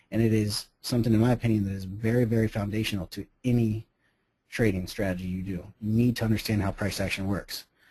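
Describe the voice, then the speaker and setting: A man talks at a very fast pace in a fairly low pitch with a dark, mellow tone. His delivery is somewhat breathy and monotone, with flat intonation. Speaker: professional trader. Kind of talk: webinar presentation.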